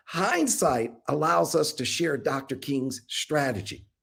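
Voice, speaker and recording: A man speaks fairly slowly in an animated tone with vocal fry. The recording is very clean, with a silent background. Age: 60s. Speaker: town hall moderator. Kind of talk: panel introduction.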